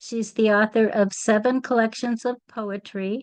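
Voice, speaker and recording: Speaking at a fairly slow pace, a woman uses an ordinary speaking voice with fairly even intonation. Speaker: poetry series host. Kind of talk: event host introduction.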